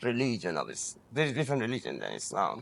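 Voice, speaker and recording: Speaking very fast with vocal fry, a man with an Iranian accent keeps a medium pitch and ordinary pitch variation. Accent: Iranian (Persian). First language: Persian. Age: 40s. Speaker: interviewee. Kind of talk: personal testimony. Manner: halting, frequent false starts.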